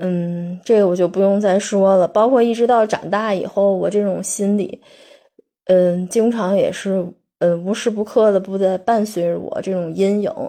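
Her voice dark and mellow, a woman speaks at a moderate pace with fairly even intonation. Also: medium pitch for a woman. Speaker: solo podcaster. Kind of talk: monologue. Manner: halting.

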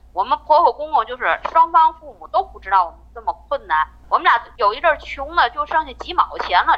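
A woman's high voice with very wide pitch swings at a fairly quick pace, music in the background. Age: 40s. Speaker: caller sharing her marriage story. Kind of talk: personal testimony. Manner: halting, repetitive.

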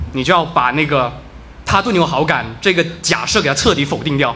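A man speaks with a fairly high pitch and lively intonation. The room echo is audible, and there is noticeable background noise. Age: 20s. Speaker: storyteller at live story event. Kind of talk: storytelling to live audience. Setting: stage with audience.

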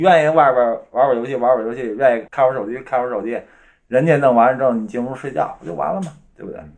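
A man at medium pitch, very fast pace, ordinary pitch variation and big swings in loudness. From Northeast China. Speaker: guest, husband of the main guest. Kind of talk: casual chat.

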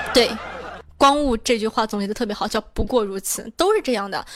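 A woman with a fairly high pitch speaks at a fairly quick pace in an animated, playful tone over noticeable background noise. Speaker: online radio host running weekly group chat. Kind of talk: casual live chat answering listener questions. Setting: QQ group voice chat.

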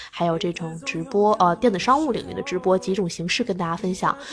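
Noticeable background noise surrounds a woman speaking at a fairly quick pace. Her voice is medium in pitch with lively intonation. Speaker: e-commerce podcast host doing a live stream. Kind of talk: casual live-stream chat. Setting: audio live stream from computer.

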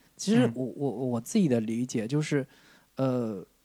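On a very clean recording with a silent background, a man with a southern Chinese accent speaks fairly slowly in a dark, mellow tone. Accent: southern Chinese accent in Mandarin. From Jiangsu-Zhejiang region, China. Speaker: film podcast host. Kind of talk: casual chat.

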